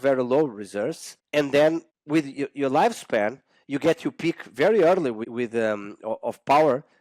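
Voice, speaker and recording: A man speaks at a fairly high pitch with lively intonation. The sound is dry and close with no echo, in a very clean recording with a silent background. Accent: Portuguese. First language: Portuguese. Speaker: exercise scientist. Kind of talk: podcast interview. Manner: halting, many fillers and restarts.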